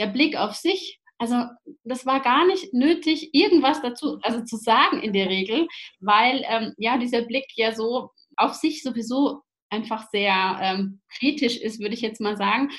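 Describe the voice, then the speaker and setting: Lively intonation runs through this fairly slow delivery. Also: woman, high pitch for a woman. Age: 30s. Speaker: social pedagogue and parent coach. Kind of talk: casual interview.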